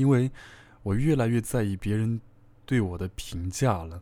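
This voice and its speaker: This man has a dark, mellow tone and speaks at a moderate pace. The recording is very clean, with a silent background. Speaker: online radio host. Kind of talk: casual monologue to listeners. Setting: solo at a microphone.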